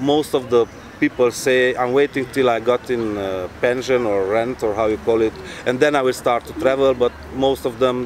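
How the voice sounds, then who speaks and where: Noticeable background noise behind a man with a non-native accent, medium pitch, fairly even intonation and a moderate pace. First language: not English. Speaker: traveler. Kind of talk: talk to audience. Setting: live event with audience.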